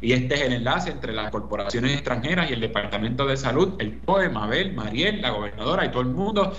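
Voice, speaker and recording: With a Puerto Rican accent, a man speaks at a medium pitch and a very fast pace. Audible room echo and noticeable background noise fill the recording. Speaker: political commentator. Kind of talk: radio commentary.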